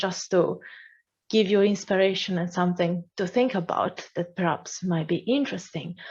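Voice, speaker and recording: At a fairly slow pace, a woman speaks in a medium, somewhat breathy voice. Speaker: AI course instructor. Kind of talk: Q&A answer; lecture.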